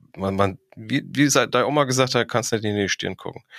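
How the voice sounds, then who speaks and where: The sound is dry and close, with no echo. A man speaks with ordinary pitch variation. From Frankfurt am Main, Hesse. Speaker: professional firefighter and crime novelist. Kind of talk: casual interview.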